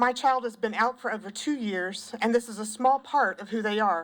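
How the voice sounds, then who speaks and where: A woman speaks in a shaky, fairly high voice with a Southern US accent. Her intonation stays fairly even at a moderate pace. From South Carolina, Pendleton. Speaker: former school counselor and parent testifying. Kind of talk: public testimony. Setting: legislative committee hearing.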